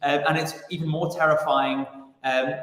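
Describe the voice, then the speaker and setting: The speaker has a British accent and keeps a moderate pace. Pitch varies in an ordinary way. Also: man. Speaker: stage actor. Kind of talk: interview.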